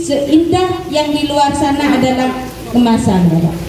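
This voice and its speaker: At a very slow pace, the voice carries audible room echo and light background noise. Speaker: village official or event host. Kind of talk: event speech and emceeing. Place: hall.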